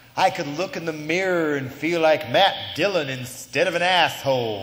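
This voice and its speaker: This man's voice sits fairly high and moves at a moderate pace with ordinary pitch variation. Noticeable background noise can be heard. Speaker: spoken word performer. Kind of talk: live spoken word performance. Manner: sarcastic, impassioned.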